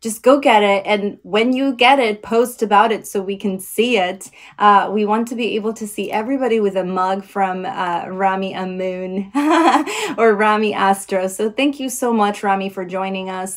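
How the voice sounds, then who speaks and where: The speaker has a warm, enthusiastic tone and keeps a moderate pace. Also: woman. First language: not English. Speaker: live audio show host. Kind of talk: live audio show interview wrap-up. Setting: live audio app stage.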